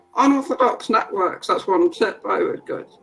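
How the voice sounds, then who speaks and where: A woman's voice with lively intonation against noticeable background noise. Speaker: workshop facilitator. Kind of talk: webinar Q&A.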